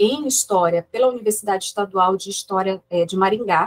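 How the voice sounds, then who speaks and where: Recorded dry and close with no echo, a woman with an ordinary speaking voice talks at a moderate pace and medium pitch, with ordinary pitch variation. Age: 40s. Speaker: historian, research group coordinator. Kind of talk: academic seminar introduction. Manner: formal.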